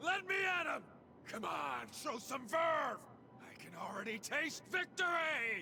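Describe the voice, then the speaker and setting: Shouting in a put-on character voice at an extremely high pitch, a man goes at a fairly slow pace over clear background noise. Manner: screaming, battle cry.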